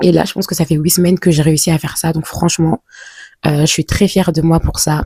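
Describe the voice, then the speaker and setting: A woman with a fairly low voice keeps her intonation fairly even. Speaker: vlogger. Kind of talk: casual vlog talk to camera. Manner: hesitant, many fillers.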